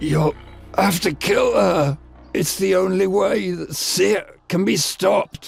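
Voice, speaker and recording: A man puts on a raspy character voice, high in pitch and fairly slow, with faint music in the background. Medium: video game.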